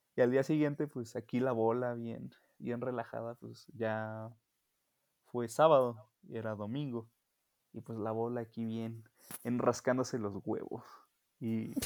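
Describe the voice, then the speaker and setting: Over a very clean recording with a silent background, a man with a Mexican accent talks at a fairly slow pace in a medium pitch, using fairly even intonation and long, frequent pauses. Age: 20s. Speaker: podcast co-host. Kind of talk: casual chat.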